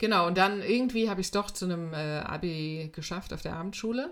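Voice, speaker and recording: Moderate pacing and ordinary pitch variation from a woman's voice. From eastern Germany (Weimar, Thuringia). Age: 50s. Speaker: life coach. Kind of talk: casual interview. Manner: hesitant, many fillers.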